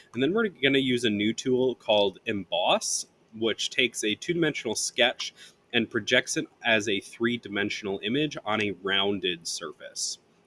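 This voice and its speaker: A man speaks at a medium pitch with a bright, sharp tone and ordinary pitch variation. His pace is moderate, and the sound is dry and close with no echo. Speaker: software tutorial maker. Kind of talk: tutorial. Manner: halting, with fillers.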